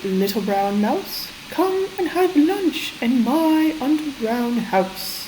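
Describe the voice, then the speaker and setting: In a put-on character voice, a woman speaks at a very slow pace and a high pitch, with clear background noise behind her. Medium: read story.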